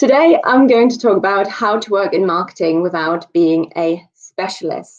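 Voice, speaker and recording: A woman speaks in a German accent at a medium pitch. She keeps a moderate pace with ordinary pitch variation. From Germany. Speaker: marketing director and conference speaker. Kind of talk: presentation.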